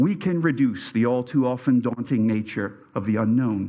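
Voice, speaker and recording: A man speaks with a Pennsylvania Dutch accent. He talks at a moderate pace. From US, Lebanon County, Pennsylvania. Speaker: teacher. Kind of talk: speech at alumni reunion. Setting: stage with audience. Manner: formal.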